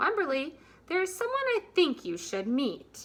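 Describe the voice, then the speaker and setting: In a put-on character voice, a woman speaks at an extremely high, squeaky pitch with very wide pitch swings and a warm tone. Her pace is moderate. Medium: read story. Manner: warm, encouraging.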